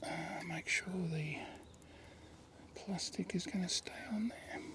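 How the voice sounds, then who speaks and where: Speaking at a fairly slow pace with an Australian accent, a man is heard over noticeable background noise. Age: 60s. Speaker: fishing show host. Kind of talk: outdoor fishing vlog commentary. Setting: outdoors in a kayak on a river. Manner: casual, conversational.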